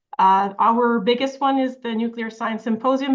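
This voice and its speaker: A woman in a French accent, moderate pace, ordinary pitch variation. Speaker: professor. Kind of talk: lecture. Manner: many filler sounds.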